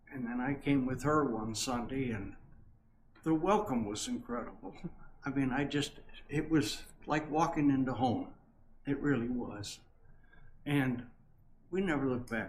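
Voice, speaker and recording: Long, frequent pauses mark this man's speech at medium pitch. Audible room echo surrounds him. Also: ordinary pitch variation, moderate pace. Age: 80s+. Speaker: longtime church member. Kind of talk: interview. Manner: halting.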